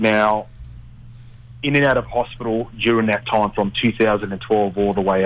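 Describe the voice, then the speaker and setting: Here a man talks with an Australian accent in a fairly low voice. His pace is moderate and his pitch varies in an ordinary way. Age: 30s. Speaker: mortgage broker. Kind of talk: casual radio interview. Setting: radio studio. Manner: halting, filler-heavy.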